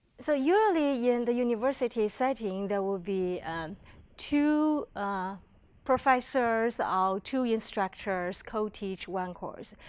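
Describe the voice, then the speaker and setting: Recorded very cleanly against a silent background, a woman with a Chinese accent talks very slowly in a fairly high voice with lively intonation. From China. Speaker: education professor. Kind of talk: workshop presentation. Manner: hesitant, many fillers.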